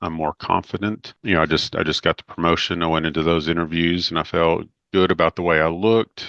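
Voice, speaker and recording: Over a quiet background, a man with a very deep, low pitch speaks at a fairly quick pace in a bright, sharp tone and monotone, flat intonation, the sound dry and close with no echo. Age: 50s. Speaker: weight loss client. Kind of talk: testimonial interview.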